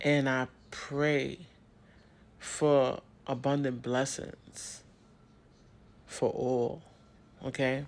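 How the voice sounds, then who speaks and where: Speaking at a very slow pace with long, frequent pauses, a man of medium pitch keeps a monotone, flat intonation. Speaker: spiritual vlogger. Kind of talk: inspirational talk. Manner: casual, conversational.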